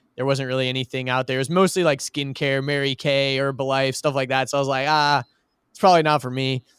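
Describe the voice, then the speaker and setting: A man with an American accent in an ordinary speaking voice, at a fairly quick pace, in a dry, close sound with no echo. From US South, Georgia (outside Atlanta). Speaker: creative director at a marketing agency. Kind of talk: casual interview chat.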